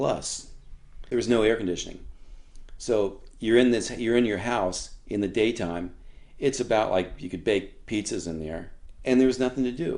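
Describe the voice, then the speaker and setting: Speaking at a moderate pace, a man with an American accent uses a medium pitch and ordinary pitch variation. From Florida, US (Sarasota). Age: 60s. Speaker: surfboard builder and surfer. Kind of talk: oral history interview. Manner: animated.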